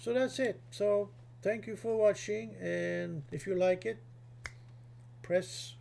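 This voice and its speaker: The voice has a dark, mellow tone, somewhat breathy, with very wide pitch swings. It moves at a very slow pace. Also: man. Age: 60s. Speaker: gaming youtuber. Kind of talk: tutorial. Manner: halting; casual.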